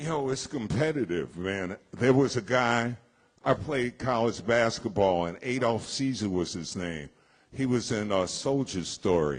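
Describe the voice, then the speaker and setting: With an ordinary speaking voice, a man of medium pitch talks at a fairly slow pace with lively intonation. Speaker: radio and media veteran, author. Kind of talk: live interview before an audience.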